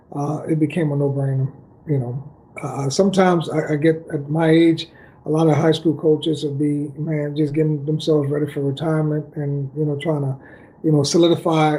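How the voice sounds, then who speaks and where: A man's fairly high, somewhat breathy voice with a dark, mellow tone, flat monotone intonation and a fairly quick pace. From Dominican Republic. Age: 40s. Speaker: football coach. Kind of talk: casual chat.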